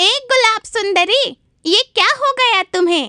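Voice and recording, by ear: A cartoonish character voice at an extremely high pitch moves at a fairly slow pace.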